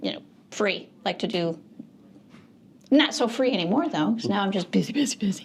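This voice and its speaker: Somewhat breathy, a woman with an American accent talks at a fairly quick pace in a medium pitch, with very wide pitch swings and long, frequent pauses. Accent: northern US, changed toward Southern. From Michigan. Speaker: real estate broker. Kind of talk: interview.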